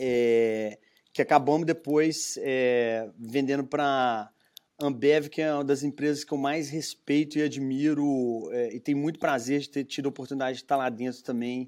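In a very clean recording with a silent background, a man with a Minas Gerais accent talks fairly slowly with fairly even intonation. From Minas Gerais, Brazil (Belo Horizonte). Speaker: entrepreneur, brewery founder. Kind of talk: interview.

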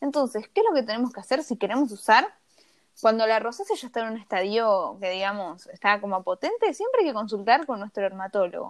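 A woman talks at a fairly quick pace in a plain, everyday voice, her pitch fairly high with ordinary variation. Her loudness swings widely. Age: 20s. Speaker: cosmetologist and skincare influencer. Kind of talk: casual interview.

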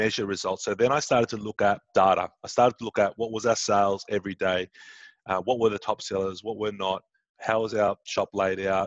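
In an Australian accent, a man talks at a fairly quick pace with a fairly low, monotone, flat delivery. The sound is dry and close, with no echo. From Sydney, Australia. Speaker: entrepreneur and business coach. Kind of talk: interview. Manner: hesitant, many fillers.

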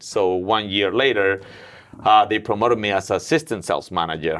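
This man speaks at a moderate pace with a fairly low pitch and ordinary pitch variation. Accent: Mexican. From Mexico City. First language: Spanish. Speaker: gym owner and businessman. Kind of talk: casual interview.

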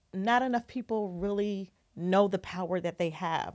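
Speaking fairly slowly in an American accent, a woman has a normal speaking voice at a medium pitch with ordinary pitch variation, in a very clean recording with a silent background. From Ohio and Southern California. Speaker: TV film producer and branding coach. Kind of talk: casual interview. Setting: studio, sitting next to host.

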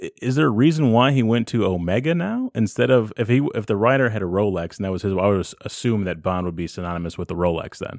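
A man speaks at a very fast pace in a fairly low pitch with lively intonation, on a very clean recording with a silent background. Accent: American. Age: 30s. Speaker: podcast host. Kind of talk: casual chat.

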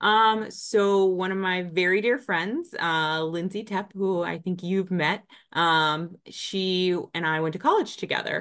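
Over a quiet background, a woman with an ordinary speaking voice talks fairly slowly at a medium pitch, with hardly any pauses and fairly even intonation. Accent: American. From Northern Virginia, US. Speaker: business development director. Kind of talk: interview.

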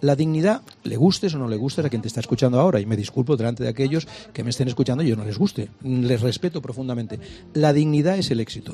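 Speaking very fast, a man with a dark, mellow tone sounds somewhat breathy and shows ordinary pitch variation. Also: medium pitch for a man. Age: old. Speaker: comedian and TV presenter. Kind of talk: radio interview.

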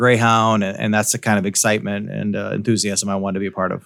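In a very clean recording with a silent background, a man with a Midwestern US accent talks very fast at a fairly low pitch. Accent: US Midwest. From Iowa, Davenport / Quad Cities area. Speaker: school superintendent. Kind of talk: interview.

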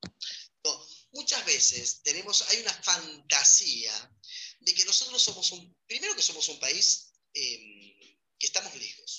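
A man is speaking. His pace is fairly slow. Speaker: migration specialist. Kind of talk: interview.

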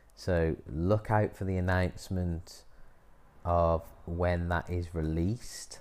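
Very slow in pace, a man speaks with a very deep, low pitch and fairly even intonation. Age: 30s. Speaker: yoga teacher and business coach podcast host. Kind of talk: solo podcast monologue.

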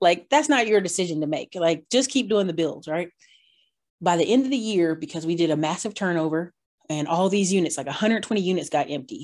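With an American accent, a woman talks at a very fast pace in a fairly low pitch, her tone animated and her intonation lively against a quiet background. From North Carolina. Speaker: YouTuber and real estate investor. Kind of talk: interview.

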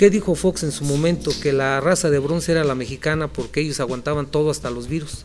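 Music sits in the background as a man speaks. He uses a fairly high pitch, ordinary pitch variation, and a fairly quick pace. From Michoacán, Mexico (Morelia). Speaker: physician. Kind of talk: casual interview. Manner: halting.

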